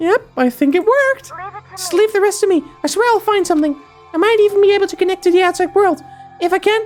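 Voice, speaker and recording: A squeaky put-on character voice at an extremely high pitch races along at a very fast pace over faint music in the background. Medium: machinima. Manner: soft, earnest.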